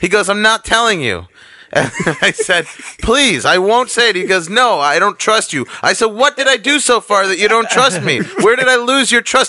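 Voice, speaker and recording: A man with a New York accent raises and projects his high-pitched voice. He keeps a moderate pace with lively intonation. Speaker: comedian. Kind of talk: casual chat.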